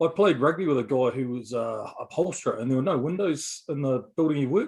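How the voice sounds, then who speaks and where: His pitch is fairly high for a man, with ordinary variation. He speaks with a New Zealand accent. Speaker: bodybuilding podcast co-host. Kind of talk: casual chat.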